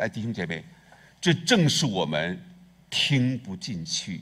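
A man is speaking. His pitch moves in very wide swings. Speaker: pastor. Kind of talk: sermon. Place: church. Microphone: headset.

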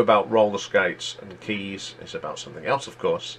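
A man with an East Midlands accent talks at a fairly quick pace. There is light background noise. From England, East Midlands (near Leicester). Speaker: YouTube music chart host. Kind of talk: solo music countdown commentary. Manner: casual, conversational. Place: home room. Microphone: webcam.

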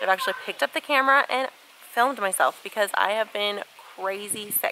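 Spoken at a fairly quick pace, the clip has noticeable background noise and a dry sound with no echo. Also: woman, medium pitch for a woman. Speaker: stay-at-home mom vlogger. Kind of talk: casual talk to camera. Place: garden. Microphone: phone near.

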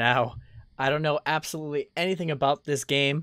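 Against a quiet background, a man speaks at a moderate pace with fairly even intonation in a dry sound with no echo. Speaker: game streamer. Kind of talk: casual stream intro chat. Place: home room. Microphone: studio mic.

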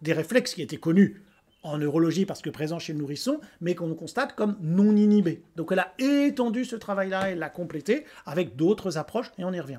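A man's high-pitched voice with a dark, mellow tone, lively intonation and a fairly quick pace. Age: 50s. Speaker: educational kinesiology trainer. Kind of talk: solo presentation. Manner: hesitant, many fillers. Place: home room. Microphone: webcam.

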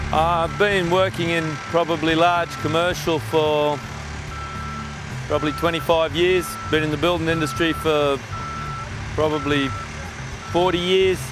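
A man speaks at a fairly slow pace, with long, frequent pauses. The sound is dry with no echo, and clear music plays in the background. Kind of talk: interview answer. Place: open country. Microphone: lapel.

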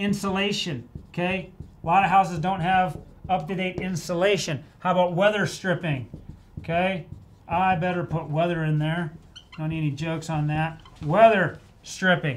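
There is light background noise as a man with a high pitch talks, leaving long, frequent pauses. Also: fairly even intonation, moderate pace. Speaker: presenter. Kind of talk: tutorial. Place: office.

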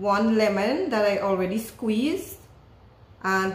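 A woman speaks at a very slow pace, with audible echo from the room. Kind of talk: cooking tutorial. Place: kitchen. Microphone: camera far.

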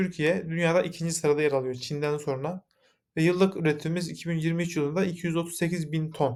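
A man's high-pitched voice at a moderate pace with fairly even intonation. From Yozgat, Turkey. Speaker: mechanical engineer, company founder. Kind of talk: investor pitch presentation. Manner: formal, with frequent filler hesitations.

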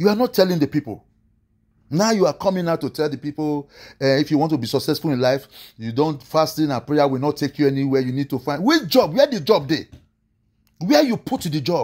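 In a Nigerian accent, a man talks at a fairly quick pace with a fairly high pitch. The background is quiet. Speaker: online preacher commentator. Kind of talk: angry rant, sermon-like preaching, scolding pastors and motivational speakers. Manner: indignant, emphatic, exasperated. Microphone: phone near.

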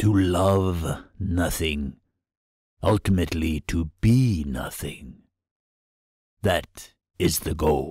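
Using a put-on character voice, a man speaks at a very slow pace in a very deep, low pitch, with ordinary pitch variation and long, frequent pauses. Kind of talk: horror narration. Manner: calm, cryptic, philosophical.

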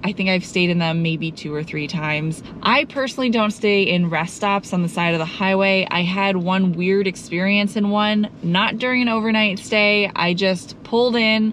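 A woman talks at a moderate pace with hardly any pauses and ordinary pitch variation. The sound is dry with no echo, and there is light background noise. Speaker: travel vlogger. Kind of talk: casual vlog chat. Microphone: phone near.

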